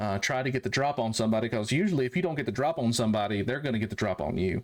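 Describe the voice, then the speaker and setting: A man's medium-pitched voice with a North Carolina accent, a fairly quick pace, and ordinary pitch variation. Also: very clean recording, silent background. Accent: Southern, North Carolina. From US South, rural North Carolina. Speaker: military veteran turned farmer. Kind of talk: casual chat. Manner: halting.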